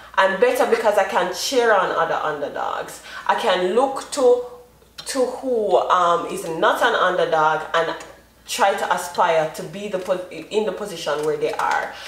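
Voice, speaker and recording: Amid noticeable background noise and audible room echo, a woman with a Jamaican accent speaks in an animated tone at a medium pitch. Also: ordinary pitch variation, fairly slow pace. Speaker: vlogger, mother. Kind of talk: casual monologue vlog.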